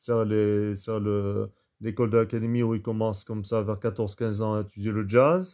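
A man's fairly low voice, dark and mellow in tone, with fairly even intonation over a quiet background. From France, Toulouse. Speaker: jazz pianist. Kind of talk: interview. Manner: halting, many fillers.

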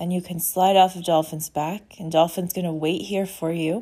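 Recorded very cleanly with a silent background, a woman with a fairly low pitch speaks in a dark, mellow tone that is also warm and soothing. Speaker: podcast host and intuitive healer. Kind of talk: guided meditation. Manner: slow, soothing and calm, with gentle pacing; warm and inviting.

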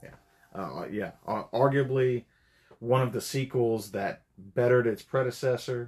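A man speaks at a fairly slow pace with medium pitch. He has an ordinary speaking voice and fairly even intonation. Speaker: podcast guest. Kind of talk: casual chat.

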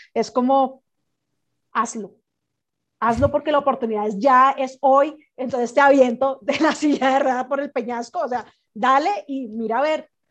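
Against a quiet background, a woman with a Colombian accent speaks at a fairly slow pace and high pitch with fairly even intonation. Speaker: entrepreneur and podcaster. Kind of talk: casual chat.

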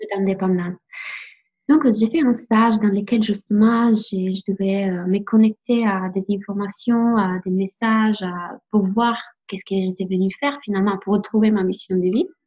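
Speaking with an Italian accent, a woman talks at a moderate pace in a medium pitch, her voice somewhat breathy and her intonation fairly even. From Italy. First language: Italian (speaking French). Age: 20s. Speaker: life coach. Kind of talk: interview. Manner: halting.

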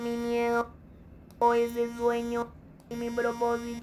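A woman speaks with music in the background. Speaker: motivational coach and speaker. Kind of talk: casual chat.

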